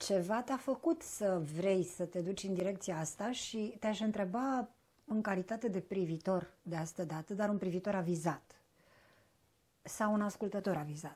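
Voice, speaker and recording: This woman has a dark, mellow, somewhat breathy tone. She speaks at a medium pitch with ordinary pitch variation. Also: moderate pace. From southern Romania (Bucharest). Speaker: interviewer. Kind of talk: interview conversation. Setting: shop. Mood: warm, measured, thoughtful. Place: home room. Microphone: lapel.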